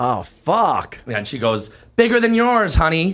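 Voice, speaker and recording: Speaking fairly slowly, a man lets his pitch swing very widely. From Canada. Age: 40s. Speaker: event promoter. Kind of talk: casual chat.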